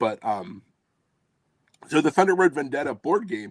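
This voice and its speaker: With a Philadelphia accent, a man swings his pitch very widely, and the sound is dry and close with no echo. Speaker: tabletop game publisher. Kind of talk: casual chat.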